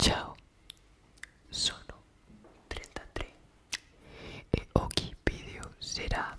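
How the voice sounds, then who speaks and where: This man's speech is a whisper, delivered very slowly. Long pauses come often. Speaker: ASMR creator. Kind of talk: ASMR whisper video. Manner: whispered, soft, relaxing. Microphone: studio mic.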